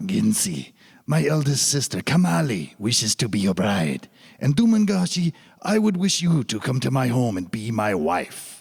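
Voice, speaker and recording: Doing a put-on character voice, a man speaks at a moderate pace and medium pitch with very wide pitch swings. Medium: audio drama. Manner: gentle, kindly.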